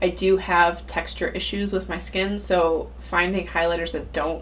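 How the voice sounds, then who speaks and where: Noticeable background noise and audible room echo around a woman speaking at a moderate tempo. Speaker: beauty vlogger. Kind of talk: product review monologue.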